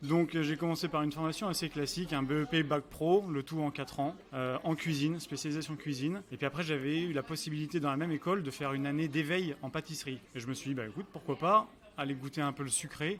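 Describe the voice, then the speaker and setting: The speech rushes at a very fast pace with hardly any pauses and fairly even intonation. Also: man, fairly high pitch for a man. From France, Angers (Pays de la Loire). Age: 30s. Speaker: restaurant owner and pastry chef. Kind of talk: interview over lunch. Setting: restaurant, over lunch. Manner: hesitant, many fillers.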